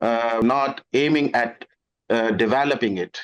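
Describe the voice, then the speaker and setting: A man speaks with a north Indian accent. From northern India. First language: Hindi. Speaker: language tutor. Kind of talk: informal interview talk. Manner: halting, with hesitations.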